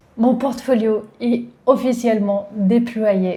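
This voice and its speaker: A woman's somewhat breathy, fairly high voice with a dark, mellow tone and a French accent. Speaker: tech YouTuber, developer. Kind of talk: tutorial.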